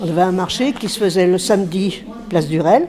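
A woman speaks over noticeable background noise. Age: old. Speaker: senior resident sharing local memories. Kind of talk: interview.

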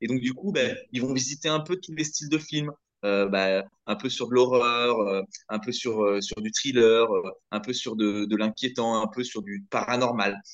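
Fairly slowly, a man with an unremarkable speaking voice talks, his pitch varying in an ordinary way. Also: medium pitch for a man. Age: 30s. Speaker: podcast host. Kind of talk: casual chat.

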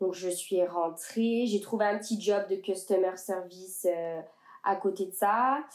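A woman talks very slowly, her intonation fairly even and her pitch medium. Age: 20s. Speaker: young expat traveler. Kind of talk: casual interview.

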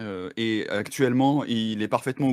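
This man's fairly low voice keeps a moderate pace, its pitch varying in an ordinary way. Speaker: video game magazine journalist. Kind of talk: casual chat. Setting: live stream. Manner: halting, many repetitions.

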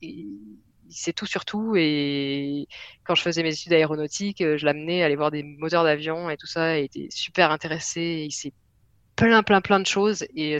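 Dry and close with no echo, a woman's very deep, low voice moves at a moderate pace. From southwest France. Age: 30s. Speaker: software developer. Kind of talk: casual interview.

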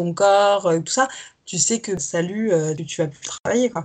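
An ordinary speaking voice carries lively intonation. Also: woman. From France, Paris region and south-west. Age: 20s. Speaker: fashion model. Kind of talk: casual interview chat.

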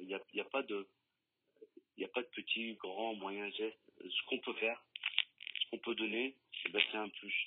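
With long, frequent pauses, a man speaks fairly slowly at medium pitch in a monotone, flat intonation. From France, Lyon. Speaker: local politician. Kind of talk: radio interview.

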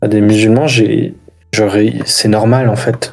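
A man talks in a normal speaking voice. His pitch is medium and his intonation fairly even. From France, Algerian mother. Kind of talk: casual chat.

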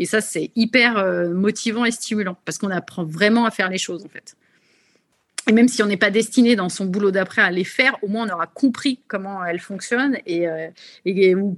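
A woman with an unremarkable speaking voice, at a moderate pace and with ordinary pitch variation. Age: 30s. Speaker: MBA graduate in marketing. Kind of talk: webinar testimony. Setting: video call.

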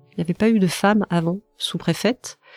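A woman speaks at a medium pitch, with a dry, close sound and no echo. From France, Brittany. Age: 40s. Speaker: senior civil servant. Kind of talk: interview. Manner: halting, many fillers and repetitions.

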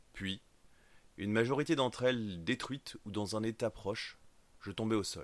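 A man's fairly low voice at a moderate pace, with ordinary pitch variation and long, frequent pauses, in a very clean recording over a silent background. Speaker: audiobook narrator. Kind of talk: dramatic first-person fiction narration with character voices. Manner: tense, urgent, suspenseful, building to action.

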